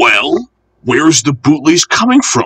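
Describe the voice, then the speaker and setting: In a put-on character voice, a man speaks fairly high and fairly slowly, the sound dry and close with no echo. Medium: read story. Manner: firm, matter-of-fact.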